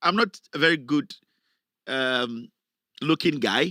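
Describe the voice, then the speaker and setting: Speaking with a Ghanaian accent, a man uses a fairly high pitch, lively intonation and a bright, sharp, animated tone in a dry, close sound with no echo. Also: very clean recording, silent background. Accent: Ghanaian, kept on purpose. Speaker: political commentator, online show host. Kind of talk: live political commentary.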